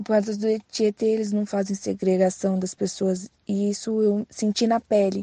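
In a dry, close recording with no echo, a woman talks at a moderate pace in a flat monotone. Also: medium pitch for a woman. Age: 20s. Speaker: poet, former inmate. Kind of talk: testimony.

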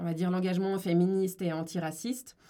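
A woman's fairly low-pitched voice with fairly even intonation, on a very clean recording with a silent background. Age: 20s. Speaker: lawyer and discrimination consultant. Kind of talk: interview.

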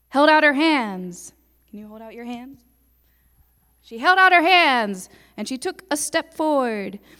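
A raised, projected voice with a bright, sharp tone swings very widely in pitch and a lot in loudness. It goes at a fairly slow pace with long, frequent pauses. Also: woman, high pitch for a woman. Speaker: storyteller. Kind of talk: interactive storytelling to a church congregation with call-and-response. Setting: church.

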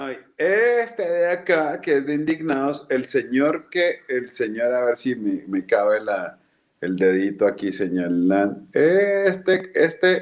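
A man's fairly high voice, very slow, with very wide pitch swings. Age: 40s. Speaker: comedian and chef. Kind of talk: casual chat. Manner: animated.

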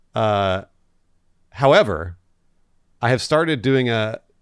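In a very clean recording with a silent background, a man speaks at a fairly slow pace with a medium pitch and lively intonation. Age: 30s. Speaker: podcast co-host. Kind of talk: casual chat.

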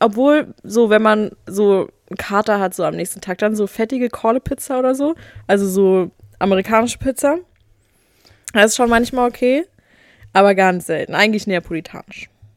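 At a moderate pace with long, frequent pauses, a woman speaks in a fairly high pitch with ordinary pitch variation, the sound dry and close with no echo. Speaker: podcast host. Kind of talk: casual chat; quiz. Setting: studio.

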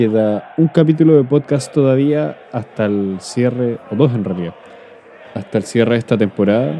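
Noticeable background noise sits behind a man with a Chilean accent. He talks at a moderate pace in a medium pitch with ordinary pitch variation. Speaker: podcast host. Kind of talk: casual chat.

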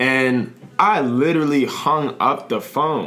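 A man's voice carries an audible room echo, with music playing in the background. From US, Washington DC / Maryland area. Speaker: rapper. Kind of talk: casual chat.

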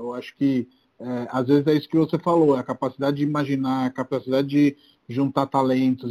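Recorded dry and close with no echo, a man speaks at a moderate pace in a dark, mellow tone of medium pitch. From Brazil, outside São Paulo. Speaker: podcast host, real estate entrepreneur. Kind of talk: casual interview.

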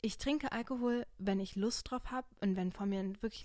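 A woman talks at a medium pitch. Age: 20s. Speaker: podcast host. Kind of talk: casual chat. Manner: animated.

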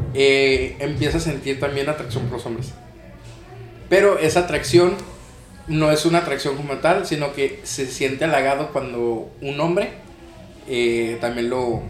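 A man at a fairly high pitch and fairly slow pace, with long, frequent pauses and ordinary pitch variation, over background music and audible room echo. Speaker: podcast co-host and lightsaber combat instructor. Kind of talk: casual chat.

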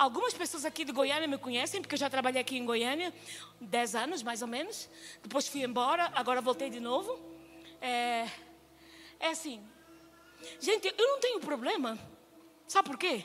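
With music in the background, a woman speaks in a high pitch with lively intonation and long, frequent pauses. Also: moderate pace. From Angola. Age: 50s. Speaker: missionary preacher. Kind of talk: sermon. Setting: church stage with congregation.

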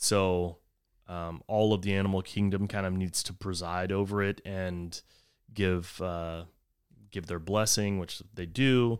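With an American accent, a man speaks in a very deep, low pitch at a fairly slow pace with fairly even intonation, captured on a very clean recording against a silent background. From Texas. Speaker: chef and restaurateur. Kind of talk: casual interview.

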